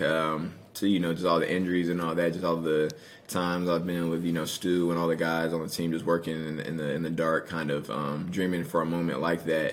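A man talks at a fairly quick pace in a very deep, low pitch. His intonation is monotone and flat, and room echo is audible. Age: 20s. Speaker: college football player. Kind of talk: interview. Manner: halting.

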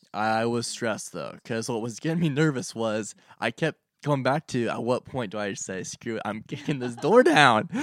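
Recorded very cleanly against a silent background, with a dry, close sound and no echo, a man speaks in an unremarkable speaking voice at medium pitch, moderate pace, and ordinary pitch variation. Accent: American. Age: 20s. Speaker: guest, state government worker. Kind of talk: casual chat.

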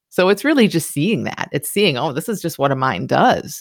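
With an American accent, a woman speaks with vocal fry. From US Midwest, Michigan. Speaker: psychologist and coach. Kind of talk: interview conversation.

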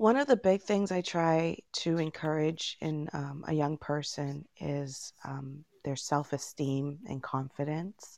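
A woman's very deep, low voice at a very slow pace with hardly any pauses, ordinary pitch variation, and a quiet background. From Jamaica until age 9, then Toronto, Canada. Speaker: teacher and poet. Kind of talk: interview. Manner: hesitant, frequent fillers.

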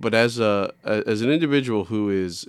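Recorded very cleanly against a silent background, a man with an American accent speaks in an ordinary speaking voice with ordinary pitch variation. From New York City. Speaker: podcast host. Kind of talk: casual interview chat.

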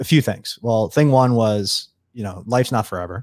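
This man talks at a very fast pace with an American accent and fairly even intonation. The recording is very clean, with a silent background. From US Northeast (eastern Long Island, New York). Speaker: entrepreneur. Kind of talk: interview conversation.

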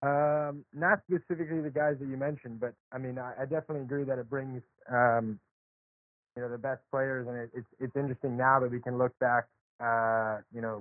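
At a fairly quick pace, a man with an American accent talks in a medium-pitched, unremarkable speaking voice. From US South (Charlotte, North Carolina). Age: 20s. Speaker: professional tennis player. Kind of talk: interview.

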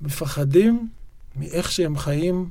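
A man's voice sounds somewhat breathy with a dark, mellow tone. There is audible room echo. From Israel, Yokneam. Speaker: writer and poet. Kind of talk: interview conversation. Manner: halting, frequent repetitions and fillers.

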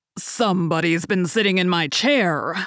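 A raspy, growling, put-on character voice sits at middle pitch. It moves at a moderate pace on a very clean recording with a silent background. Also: female-sounding voice. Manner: growling, indignant.

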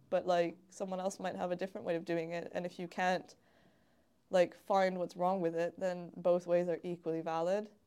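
A woman speaks with a Canadian accent and a dark, mellow tone. Her intonation stays monotone and flat. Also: fairly low pitch for a woman, moderate pace. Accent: Canadian, often taken for American. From Canada. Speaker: jiu-jitsu competitor and public health researcher. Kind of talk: casual chat.

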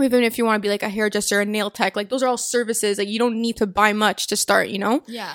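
A woman talks at a very fast pace in a fairly high pitch. Her intonation is monotone and flat. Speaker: podcast host. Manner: fast talker.

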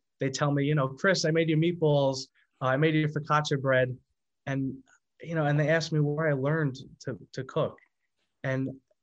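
With an American accent and an unremarkable speaking voice, a man talks at a moderate pace in a fairly high pitch with ordinary variation. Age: 20s. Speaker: singer. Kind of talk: casual chat.

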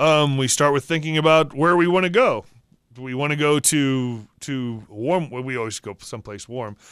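Heard on a very clean recording with a silent background, a man with an unremarkable speaking voice talks at a moderate pace. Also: fairly high pitch for a man, ordinary pitch variation. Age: 50s. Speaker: podcast co-host. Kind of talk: casual chat.

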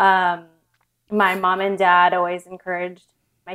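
Speaking at a moderate pace with an American accent, a woman of medium pitch uses a bright, sharp tone and flat, monotone intonation. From Southern California. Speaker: entrepreneur, co-founder and author. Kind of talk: interview conversation.

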